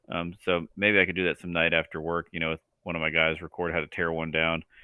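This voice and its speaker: A man speaks at a very fast pace, mumbling his words. His voice is very deep and low, with a flat, monotone intonation. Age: 30s. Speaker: transmission builder and racer. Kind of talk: casual chat.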